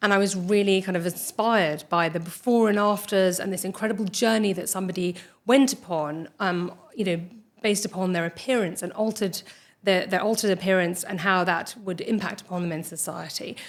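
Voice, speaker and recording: Noticeable background noise sits behind a woman with a British accent. Her medium-pitched voice moves at a fairly quick pace with fairly even intonation. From United Kingdom, Irish parents. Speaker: dermatologist and skin cancer surgeon. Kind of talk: interview. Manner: hesitant, many fillers.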